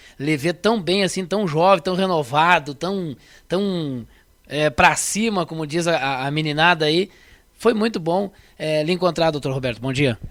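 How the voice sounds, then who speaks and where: A man talks at a fairly slow pace in a plain, everyday voice. His pitch is fairly high with ordinary pitch variation. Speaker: radio host. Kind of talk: radio interview; radio presenting.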